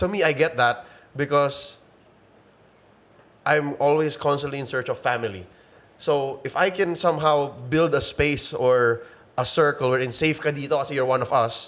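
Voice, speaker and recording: With a Filipino accent, a man speaks at a moderate pace in a fairly high voice, with ordinary pitch variation and long, frequent pauses. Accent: Filipino English, code-switching with Tagalog. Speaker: esports caster. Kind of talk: casual interview. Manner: halting, many fillers.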